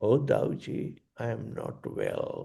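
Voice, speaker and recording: Putting on a raspy character voice, a man speaks at an extremely high pitch. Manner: weak.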